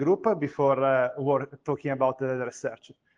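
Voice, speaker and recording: A man with an Italian accent speaks at a moderate pace. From Italy. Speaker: university lecturer. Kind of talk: conference talk. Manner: hesitant, many fillers.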